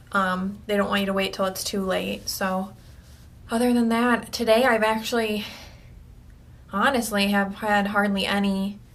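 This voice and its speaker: A woman speaks at a medium pitch and moderate pace with monotone, flat intonation. Long, frequent pauses and audible room echo can be heard. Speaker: video blogger with cancer. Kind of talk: personal video diary. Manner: hesitant, many fillers.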